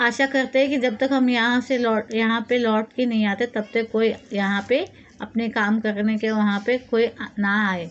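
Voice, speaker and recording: At a fairly slow pace, a woman speaks in a high pitch with fairly even intonation. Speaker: teacher. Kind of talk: lesson explanation. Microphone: phone near.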